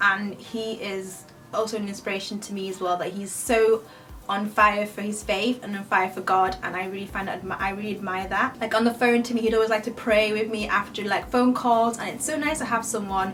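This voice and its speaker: A woman with a British accent speaks at a fairly quick pace, medium in pitch and fairly even in intonation, with audible room echo and noticeable background noise. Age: 20s. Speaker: beauty youtuber. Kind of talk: casual Q&A chat.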